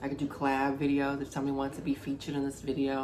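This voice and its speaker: Audible room echo surrounds a man's fairly high-pitched voice. He talks at a fairly quick pace. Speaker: vlogger. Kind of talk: casual talk video. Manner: energetic.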